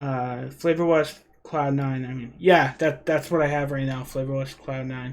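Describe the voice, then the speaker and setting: Speaking in a Rhode Island accent, a man keeps a moderate pace and a fairly high pitch. His intonation is monotone and flat. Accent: Rhode Island, New England. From Rhode Island, US. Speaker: e-liquid DIY youtuber. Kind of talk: live stream chat. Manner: casual, conversational.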